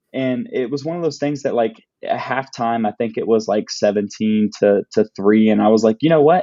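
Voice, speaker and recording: Speaking at a fairly quick pace, a man has a dark, mellow tone and medium pitch with ordinary pitch variation, recorded dry and close with no echo against a quiet background. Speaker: sports podcast host. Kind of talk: casual sports chat. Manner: halting, many repetitions.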